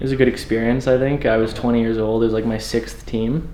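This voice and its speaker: A man with a Canadian accent speaks at a medium pitch in a monotone, flat intonation, with audible room echo. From western Canada (Calgary, Alberta). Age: 20s. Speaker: door-to-door salesman, former hockey player. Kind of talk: documentary interview. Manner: casual, filler-heavy.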